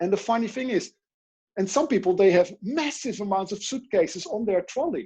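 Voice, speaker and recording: In a Dutch accent, a man with a high, dark, mellow voice speaks at a moderate pace with very wide pitch swings. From Netherlands. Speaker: life coach and speaker. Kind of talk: interview.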